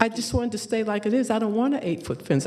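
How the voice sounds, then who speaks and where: A woman speaks over noticeable background noise. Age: 70s. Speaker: applicant at a public hearing. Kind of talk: public hearing testimony. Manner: emphatic.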